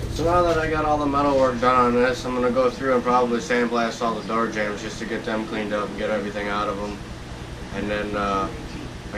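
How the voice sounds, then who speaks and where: A man's voice with ordinary pitch variation amid noticeable background noise. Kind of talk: casual vlog chat. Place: garage. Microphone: camera far.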